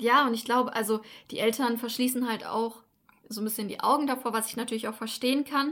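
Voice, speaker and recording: In a very clean recording with a silent background, a woman talks very fast. Her high voice is monotone, with flat intonation. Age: 20s. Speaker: podcast co-host. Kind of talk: casual chat.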